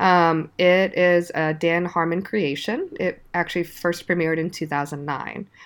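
This woman has fairly low pitch and a normal speaking voice, speaking at a fairly slow pace. The recording is very clean, with a silent background. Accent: American. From US. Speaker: podcast guest, pixel artist collaborator. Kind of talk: casual chat.

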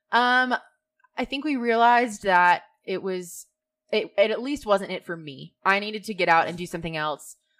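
A woman with an unremarkable speaking voice talks at a moderate pace and medium pitch, with lively intonation and big swings in loudness. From Georgia, US South. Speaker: blogger and manager. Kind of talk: interview. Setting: studio.

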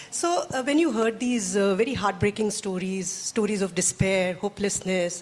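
A woman talks at a fairly quick pace in a medium pitch with lively intonation. Noticeable background noise can be heard. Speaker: journalist and moderator. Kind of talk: interview moderation. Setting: stage with audience.

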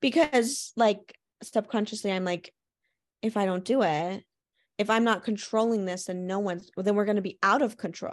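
Over a quiet background, an unremarkable speaking voice moves at a moderate pace with ordinary pitch variation. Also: woman, medium pitch for a woman. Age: 20s. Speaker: podcast co-host. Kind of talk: casual chat.

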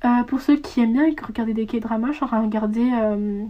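The woman's voice has a fairly high pitch. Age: young. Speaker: podcaster. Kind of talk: casual monologue. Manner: halting.

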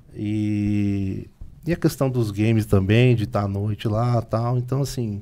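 At a fairly slow pace, a man speaks in a dark, mellow tone, his pitch fairly low with ordinary variation. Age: 40s. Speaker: retro game collector and seller. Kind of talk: casual interview chat. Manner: calm.

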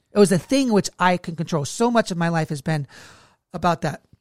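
Delivered at a fairly quick pace in an animated tone, the voice comes through a very clean recording with a silent background. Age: 30s. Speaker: leadership podcast co-host, ministry leader. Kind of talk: casual faith-based podcast conversation and personal testimony.

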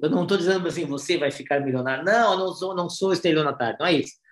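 High pitch for a man, with ordinary pitch variation in his voice. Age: 40s. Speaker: advertising executive. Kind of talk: casual chat.

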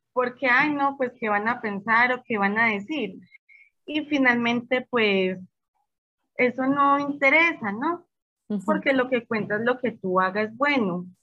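High-pitched female speech, fairly slow, with ordinary pitch movement. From Colombia, Medellín. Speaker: small bakery business owner. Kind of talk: casual interview.

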